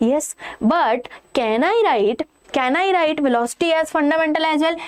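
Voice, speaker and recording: The woman speaking has lively intonation. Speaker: online physics teacher. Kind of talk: lecture. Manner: slow.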